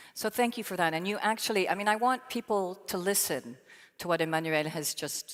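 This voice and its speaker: Recorded very clean with a silent background, the sound is dry and close with no echo. A woman with an American accent talks at a fairly quick pace in an ordinary speaking voice. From Belgium (French-speaking). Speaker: panel moderator, sustainability leader. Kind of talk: panel discussion.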